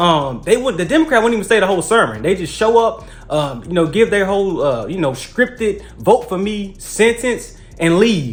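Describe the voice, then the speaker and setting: A man with a Southern US accent, high in pitch, at a moderate pace with lively intonation. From US South (Mississippi). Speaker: political commentary youtuber. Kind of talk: casual vlog monologue. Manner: halting, many fillers.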